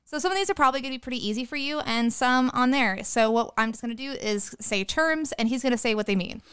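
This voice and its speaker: With hardly any pauses, a woman talks at a very fast pace in a high pitch. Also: ordinary pitch variation. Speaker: podcast host. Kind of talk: casual chat.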